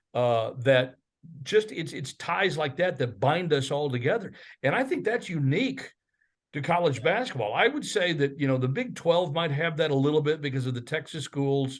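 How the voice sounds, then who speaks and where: Against a quiet background, a man with an ordinary speaking voice talks at a moderate pace in a fairly high pitch with lively intonation. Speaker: college basketball radio play-by-play announcer. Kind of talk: casual podcast interview answer.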